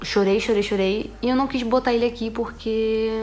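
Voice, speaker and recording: Moderate-paced speech from a woman with fairly even intonation. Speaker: vlogger. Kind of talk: casual vlog chat. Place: home room. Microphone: phone near.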